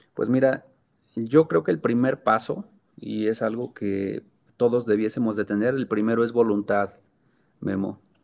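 At a fairly slow pace with long, frequent pauses, a man speaks at a medium pitch with fairly even intonation. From Mexico, Sierra Gorda of Guanajuato. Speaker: foundation co-founder. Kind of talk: interview.

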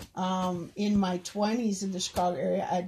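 In an American accent, a woman speaks fairly slowly at a medium pitch. Her tone is dark and mellow, and somewhat breathy. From rural Minnesota. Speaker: podcast guest, host's mother. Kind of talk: casual chat.

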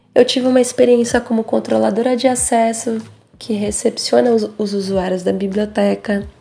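Over music in the background, a woman talks at a moderate pace and a fairly high pitch. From São Paulo, Brazil. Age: 20s. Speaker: young cultural monitor. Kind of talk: testimony.

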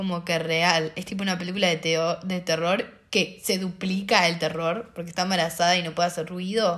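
Speaking at a moderate pace with hardly any pauses, a woman uses a fairly low pitch and monotone, flat intonation. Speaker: podcast co-host. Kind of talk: casual chat.

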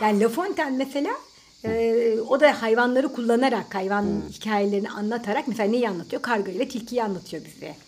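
A woman speaks at a fairly quick pace with a fairly high pitch and ordinary pitch variation. There is noticeable background noise. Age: 30s. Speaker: podcast co-host. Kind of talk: casual chat. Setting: home recording.

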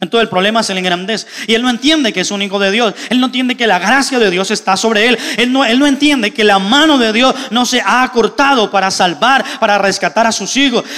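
Raising and projecting his high voice, a man talks with hardly any pauses over noticeable background noise. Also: ordinary pitch variation, fairly quick pace. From Colombia. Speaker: pastor. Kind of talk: sermon.

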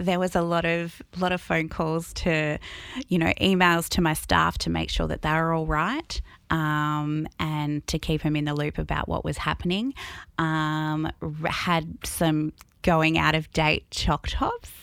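With an Australian accent, a woman speaks at a very slow pace. The recording is very clean, with a silent background. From Albury, New South Wales, Australia. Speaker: cinema general manager. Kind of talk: interview.

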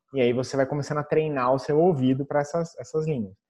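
The man's voice is pitched fairly high. Its tone is dark and mellow. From Brazil. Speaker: former tech company marketing employee. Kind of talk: interview.

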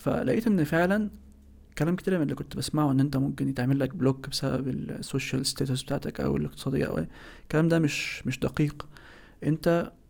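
This man has an ordinary speaking voice at a fairly high pitch, with ordinary pitch variation. He talks at a fairly quick pace. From Egypt. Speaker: architect. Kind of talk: interview.

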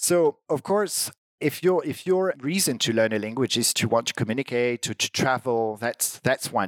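In a French accent, the speech runs at a moderate pace with ordinary pitch variation, the sound dry and close with no echo. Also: man. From France. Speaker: language teaching director. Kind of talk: interview conversation. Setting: online video call.

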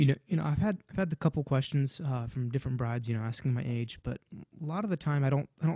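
A man talks at a fairly quick pace in a medium-pitched, somewhat breathy voice with a dark, mellow tone. His pitch varies in an ordinary way, over a quiet background. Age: 20s. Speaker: wedding DJ and production company owner. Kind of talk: casual chat.

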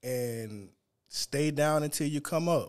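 A man with a Louisiana accent speaks at a very slow pace with fairly even intonation. The recording is very clean, with a silent background. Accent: US South (Louisiana). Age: 40s. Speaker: seafood vendor and podcaster. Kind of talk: casual chat.

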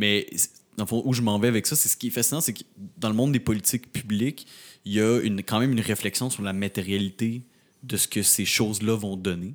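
Over a silent background in a very clean recording, a man with an unremarkable speaking voice talks at a fairly quick pace with fairly even intonation. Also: fairly low pitch for a man. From Quebec, Rimouski. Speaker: podcast co-host. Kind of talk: casual interview.

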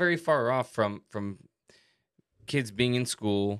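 A man speaks in a medium-pitched voice with a Hawaiian accent and lively intonation. The recording is very clean, with a silent background. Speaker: podcast co-host. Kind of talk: casual chat.

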